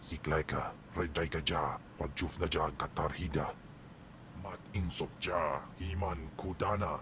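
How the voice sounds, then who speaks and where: Against clear background noise, a man puts on a character voice with a very deep, low pitch at a fairly slow pace. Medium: video game. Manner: gruff, alien language.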